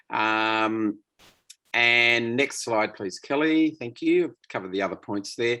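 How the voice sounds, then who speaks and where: A man with an Australian accent speaks at a fairly slow pace and medium pitch, with ordinary pitch variation. His tone is bright and sharp over a quiet background. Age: 60s. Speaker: association management consultant. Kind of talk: webinar presentation. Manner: halting.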